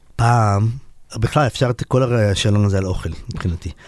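Pitch varies in the usual way while the talking goes fairly fast. There's no echo, and the sound is close and dry. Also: man. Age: 40s. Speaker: singer-songwriter and guitarist. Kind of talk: radio interview, casual chat.

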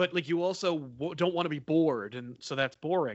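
Using an unremarkable speaking voice, a man with an American accent talks at a fairly quick pace and a fairly high pitch. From New Jersey. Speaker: YouTube comic channel host. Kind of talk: casual chat.

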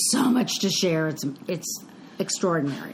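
Over noticeable background noise, a woman talks in a fairly low-pitched voice. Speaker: podcast co-host. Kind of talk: casual chat.

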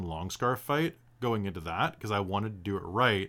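The recording is very clean, with a silent background. A man with an unremarkable speaking voice talks at a fairly low pitch and a fairly quick pace. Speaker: dungeon master. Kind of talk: casual chat about a tabletop roleplaying game.

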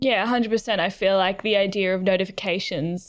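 A woman with an Australian accent, medium pitch and moderate pace. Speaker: podcast host. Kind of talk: interview, casual chat.

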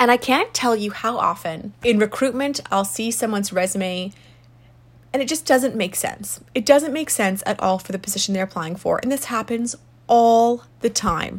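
A woman speaks at a moderate pace in a fairly high, somewhat breathy voice. Her pitch varies in an ordinary way. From South Africa. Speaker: podcast host and resume consultant. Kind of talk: solo advice talk.

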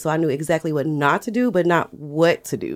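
A woman's fairly low voice in a Southern US accent at a fairly quick pace. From US South, Alabama. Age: 30s. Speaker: business owner. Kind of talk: interview.

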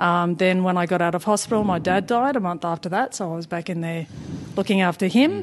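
Noticeable background noise runs under this clip. A woman with an Australian accent speaks at medium pitch with ordinary pitch variation. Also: fairly quick pace. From Papua New Guinea. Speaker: spinal cord injury patient. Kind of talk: interview. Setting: studio.

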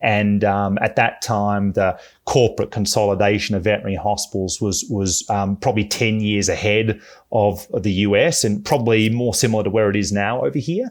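With an Australian accent, a man speaks at a fairly quick pace in a fairly low pitch and fairly even intonation, recorded very cleanly against a silent background. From Melbourne, Australia. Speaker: veterinarian. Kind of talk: podcast interview.

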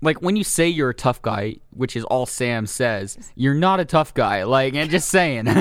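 A man with a General American accent speaks at a fairly slow pace in a normal speaking voice, his pitch medium. His intonation is lively, and he hardly pauses at all. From San Francisco Bay Area. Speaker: movie podcast co-host. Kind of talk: casual chat.

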